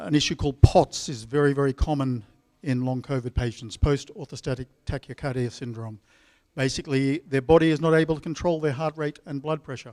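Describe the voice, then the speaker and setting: Delivered at a fairly quick pace with an Australian accent, the sound is dry and close with no echo. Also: man, fairly high pitch for a man, ordinary pitch variation. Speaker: epidemiologist. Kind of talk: conference talk.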